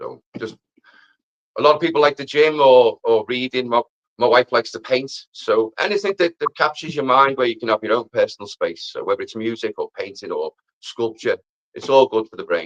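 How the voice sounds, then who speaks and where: A man speaks with a Liverpool accent at a fairly quick pace. The sound is dry and close, with no echo. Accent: Scouse. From Liverpool, England. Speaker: amateur musician and mental health advocate. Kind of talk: live stream interview.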